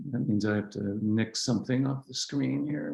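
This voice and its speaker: The voice is a man's, in an American accent. It has a dark, mellow tone. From Southern California, San Diego. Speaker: author and Buddhist scholar. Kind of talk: talk to a practice group. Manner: halting, many fillers.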